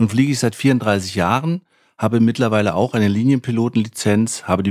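On a very clean recording with a silent background and a dry, close sound with no echo, a man with a plain, everyday voice speaks at a fairly low pitch with ordinary pitch variation. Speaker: pilot and flight school founder. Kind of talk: scripted podcast trailer. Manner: formal.

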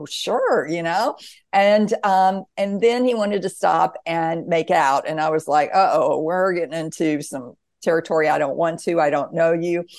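A woman with a normal speaking voice and an American accent, fairly low in pitch, with ordinary pitch variation, at a moderate pace. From US South. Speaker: author and near-death experiencer. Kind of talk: interview.

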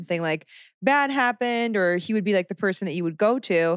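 A woman with an American accent speaks at a fairly quick pace in an unremarkable speaking voice, with a medium pitch and ordinary pitch variation. The recording is very clean and dry, close with no echo, over a silent background. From rural Southern Illinois. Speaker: former lay missionary, engaged. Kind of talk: casual interview chat.

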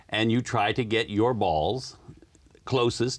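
A man talks very slowly at a fairly low pitch, with vocal fry and lively intonation. The recording is very clean, with a silent background. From US, moved around the South (Maryland, Florida). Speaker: community radio co-host. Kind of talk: casual interview.

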